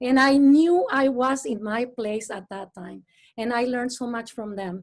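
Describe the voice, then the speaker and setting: A high-pitched woman with a Mexican accent, at a moderate pace with ordinary pitch variation. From Mexico. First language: Spanish. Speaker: astrophysicist. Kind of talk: panel discussion. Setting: video call. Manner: halting.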